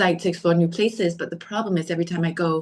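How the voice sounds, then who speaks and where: A woman speaks with fairly even intonation. Her pitch sits fairly low. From Denmark. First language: Danish. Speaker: podcast guest, storyteller. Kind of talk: casual interview chat. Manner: halting, many fillers.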